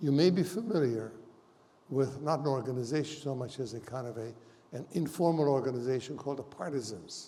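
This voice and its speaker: A man's medium-pitched voice, dark and mellow in tone and somewhat breathy, with big swings in loudness, a fairly quick pace, long and frequent pauses, and ordinary pitch variation. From Hungary. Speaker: Holocaust survivor. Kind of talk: testimony.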